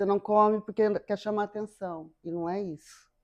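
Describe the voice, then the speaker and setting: In a very clean setting with a quiet background and a dry, close sound with no echo, a woman speaks. Her pitch is medium, her tone dark and mellow, and her intonation fairly even. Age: 50s. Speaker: psychotherapist. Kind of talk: interview.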